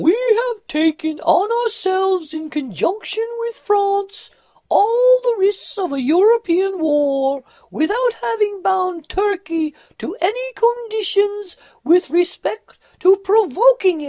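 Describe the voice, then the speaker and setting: This put-on character voice sits at an extremely high pitch. It moves at a fairly slow pace. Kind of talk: parliamentary speech. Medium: voice reel.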